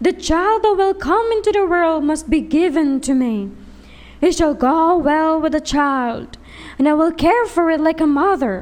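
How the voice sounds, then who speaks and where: Someone uses a put-on character voice, raised and projected, at a moderate pace. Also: woman. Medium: read story. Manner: commanding.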